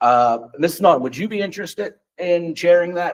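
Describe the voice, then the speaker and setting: Intonation is lively as a man speaks at a high pitch. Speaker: school board president. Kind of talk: board meeting. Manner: fast.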